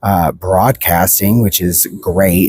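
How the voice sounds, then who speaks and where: Very deep, low pitch from a male speaker, the intonation fairly even. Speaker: book reviewer. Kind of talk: casual vlog review. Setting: outdoors at the beach. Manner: soft-spoken; halting.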